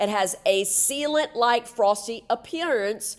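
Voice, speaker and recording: Her voice sits fairly high with ordinary pitch variation as the woman talks. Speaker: dental assistant educator. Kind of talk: webinar lecture. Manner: fast; soft-spoken.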